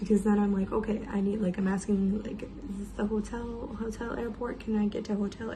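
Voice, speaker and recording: A woman speaks quietly at a moderate pace, her medium-pitched voice monotone and flat. Audible room echo surrounds her. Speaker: travel vlogger. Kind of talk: casual vlog storytelling. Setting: hotel room. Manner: quiet, hushed.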